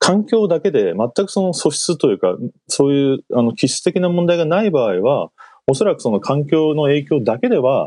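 This man talks at a moderate pace with a dark, mellow tone and very wide pitch swings. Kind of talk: radio interview. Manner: halting.

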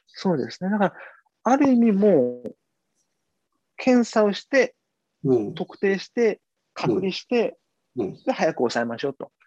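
A man speaks fairly slowly at a high pitch in a dark, mellow tone, with very wide pitch swings and big swings in loudness. The sound is dry and close, with no echo. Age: 30s. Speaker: TV news correspondent. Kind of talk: interview.

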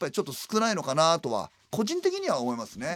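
A man talks at a very fast pace. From Tokyo, Adachi ward. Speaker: comedian and garbage collector. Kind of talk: casual interview chat.

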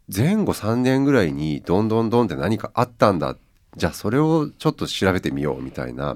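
Very wide pitch swings at a fairly quick pace in a very clean recording over a silent background. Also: man, fairly low pitch for a man. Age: 50s. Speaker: writer and editor, radio presenter. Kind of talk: casual radio interview.

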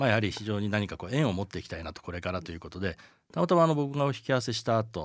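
A man with a fairly low pitch talks at a very fast pace, with very wide pitch swings and big swings in loudness. The background is quiet. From Japan, Chiba. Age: 60s. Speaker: communication design producer. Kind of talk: interview.

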